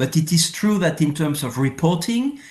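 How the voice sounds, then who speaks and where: Somewhat breathy man in a French accent with lively intonation. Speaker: former international tax policy official and professor. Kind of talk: casual interview.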